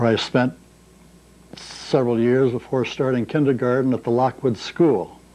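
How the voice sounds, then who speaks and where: Here a man speaks with a St. Louis accent. His pitch is medium. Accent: Midwestern American (St. Louis). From US Midwest, St. Louis, Missouri. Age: 70s. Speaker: retiree recording memoirs. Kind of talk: oral history monologue. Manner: unscripted, ad lib.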